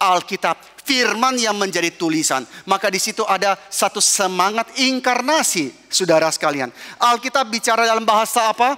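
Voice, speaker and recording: A man with a high pitch uses a raised, projected voice and lively intonation at a moderate pace. His loudness stays very even, and the sound is dry and close with no echo. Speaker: pastor. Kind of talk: sermon.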